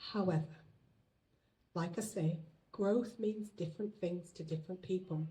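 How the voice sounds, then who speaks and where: A woman speaks with a British accent, her voice somewhat breathy with a dark, mellow tone. She talks at a fairly slow pace, leaving long, frequent pauses. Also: medium pitch for a woman, ordinary pitch variation. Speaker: business owner. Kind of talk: business launch speech.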